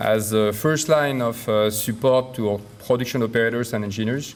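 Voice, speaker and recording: A man with a French accent speaks at a moderate pace. His pitch is medium, with ordinary variation. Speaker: company executive. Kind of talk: prepared speech. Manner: hesitant with many fillers.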